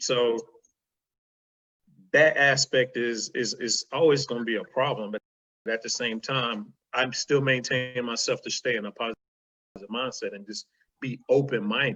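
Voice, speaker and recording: Speaking with a Southern US accent, a man at a medium pitch keeps a moderate pace and fairly even intonation, with long, frequent pauses. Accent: country Southern, a bit street. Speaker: podcast guest. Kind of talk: casual chat.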